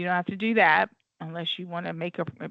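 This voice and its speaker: With an American accent, a woman with a fairly low voice talks at a fairly quick pace. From US South, Florida. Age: 50s. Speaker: teacher. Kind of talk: online class lecture. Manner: fast.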